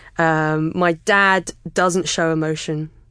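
Against a quiet background, a woman speaks in a southern English accent with a very deep, low pitch and a monotone, flat intonation. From England, near London (Kingston). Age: 30s. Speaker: podcast listener and podcaster. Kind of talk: personal interview about mental health. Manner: pauses and stammers, talks a lot.

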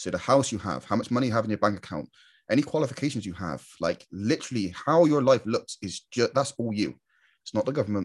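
A man with a British accent at a very fast pace, lively intonation and vocal fry. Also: medium pitch for a man, very clean recording, silent background. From UK. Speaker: online marketer and YouTuber. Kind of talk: monologue to camera. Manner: casual, filler-heavy.

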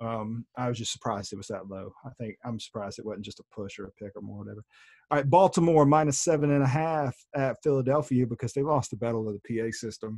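In a very clean, dry and close recording with no echo and a silent background, a man talks very fast at medium pitch with ordinary pitch variation. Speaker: podcast co-host. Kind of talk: casual sports podcast chat. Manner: animated, profane.

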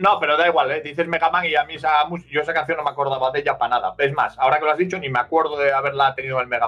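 A man talking at a very fast pace with hardly any pauses, fairly high-pitched, with ordinary pitch variation. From Asturias, northern Spain. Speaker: steelworker and streamer. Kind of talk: casual chat.

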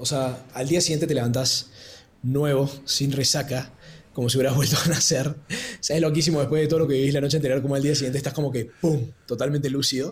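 A man with a fairly high pitch talks at a very fast pace, somewhat breathy and in a monotone, flat intonation. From Argentina, Córdoba. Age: 20s. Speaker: podcast guest sharing travel experience. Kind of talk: casual storytelling interview.

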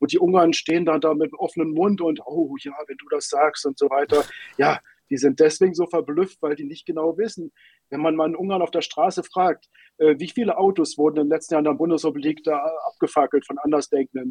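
A man with a normal speaking voice talks at a fairly quick pace and fairly high pitch, with ordinary pitch variation. The sound is dry and close with no echo. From Germany, Berlin. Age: 50s. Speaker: newspaper editor. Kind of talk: interview.

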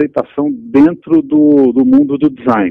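With a plain, everyday voice, a man speaks at a fairly high pitch with lively intonation. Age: 40s. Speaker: branding consultancy executive. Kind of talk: interview.

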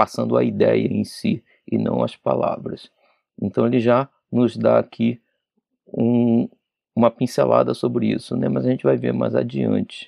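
Long, frequent pauses in a man's fairly slow speech. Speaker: spiritist study leader. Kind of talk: lecture. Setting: radio/TV broadcast studio.

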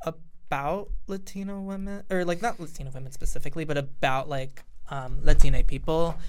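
A woman's fairly low voice with an American accent, ordinary pitch variation, a fairly quick pace with hardly any pauses, big swings in loudness and audible room echo. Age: 20s. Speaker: college student. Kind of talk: casual chat.

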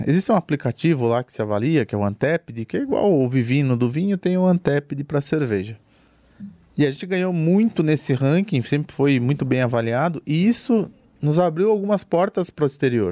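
With an interior Brazilian accent, a man talks at a fairly quick pace in a fairly high-pitched voice of dark, mellow tone and lively intonation, the sound dry and close with no echo. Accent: rolled interior Brazilian R's. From interior of Brazil. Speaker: craft brewery founder. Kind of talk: casual chat.

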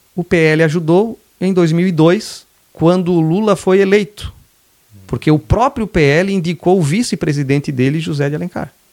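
A man speaks at a moderate pace with a fairly high pitch. The sound is dry and close, with no echo. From southern Santa Catarina, Brazil (Laguna). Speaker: state legislator. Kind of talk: podcast interview.

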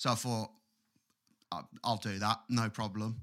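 A man with an English accent speaks in a bright, sharp tone at a fairly low pitch. His intonation is monotone and flat, at a moderate pace. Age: 20s. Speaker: podcast co-host and guitarist. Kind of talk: casual chat.

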